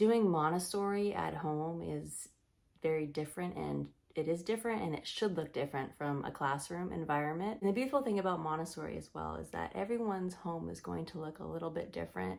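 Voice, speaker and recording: In a very clean recording with a silent background, a woman speaks quietly at a fairly quick pace. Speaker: Montessori teacher and parenting vlogger. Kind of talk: casual talk to camera. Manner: quiet, lowered voice.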